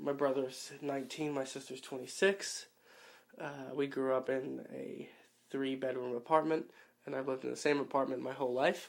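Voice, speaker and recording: A man with an American accent in a normal speaking voice, medium in pitch, at a moderate pace with fairly even intonation. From New York City (Queens). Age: 20s. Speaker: interviewee. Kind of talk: personal storytelling. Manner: casual, with many fillers.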